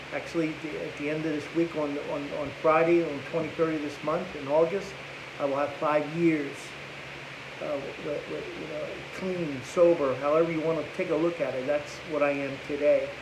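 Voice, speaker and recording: A man with a fairly high pitch talks at a moderate pace in a flat monotone, with audible room echo and noticeable background noise. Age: 60s. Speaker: recovering addict. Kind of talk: testimony. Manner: halting.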